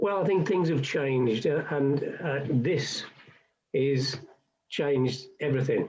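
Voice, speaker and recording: Speaking at a very slow pace, a man has a fairly high pitch and ordinary pitch variation. His voice is somewhat breathy. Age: 70s. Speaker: retiring councillor. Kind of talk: radio interview.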